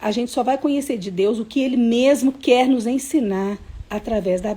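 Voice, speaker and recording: This woman talks at a fairly slow pace with a fairly high pitch and lively intonation. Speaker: children's Bible teacher. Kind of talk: online Bible lesson for kids. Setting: livestream. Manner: slow, patient.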